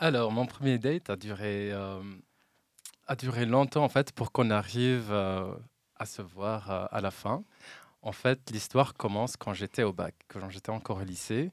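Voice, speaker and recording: With a normal speaking voice, a man talks slowly-ish at a fairly low pitch with ordinary pitch variation, the sound dry and close with no echo. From Morocco, Oujda region. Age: 30s. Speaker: quality engineer. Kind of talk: casual chat.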